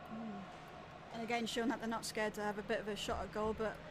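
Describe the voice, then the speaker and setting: A woman with a Geordie accent and fairly high pitch, amid audible room echo and noticeable background noise. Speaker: football co-commentator. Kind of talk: live commentary.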